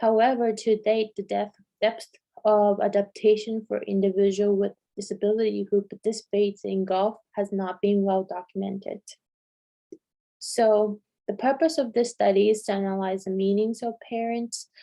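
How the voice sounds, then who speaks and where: At a moderate pace, a woman with a non-native accent speaks in a medium pitch, a dark, mellow tone and a monotone, flat intonation. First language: not English. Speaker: doctoral student presenting research. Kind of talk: conference presentation. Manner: halting, with fillers and restarts.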